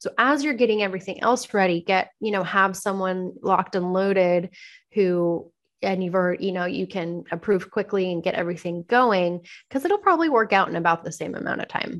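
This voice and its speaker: A woman with an American accent talks at a fairly quick pace. Her voice sits at medium pitch with ordinary pitch variation. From Southern California (Anaheim). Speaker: interior designer. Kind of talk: casual interview chat.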